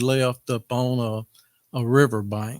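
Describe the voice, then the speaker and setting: A man with a Tennessee accent speaks at a very slow pace and a medium pitch. His intonation is fairly even, and the sound is dry and close with no echo. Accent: Southern US, Tennessee. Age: 70s. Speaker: farmer making public comment. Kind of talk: public comment at meeting. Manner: halting.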